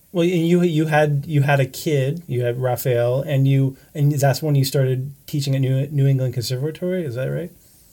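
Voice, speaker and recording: A man's somewhat breathy, dark, mellow voice, fairly high in pitch, with fairly even intonation at a moderate pace. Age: 70s. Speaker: documentary filmmaker, co-interviewer. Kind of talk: casual chat.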